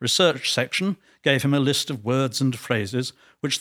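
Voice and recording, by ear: The text is read aloud in a natural voice, its intonation fairly even.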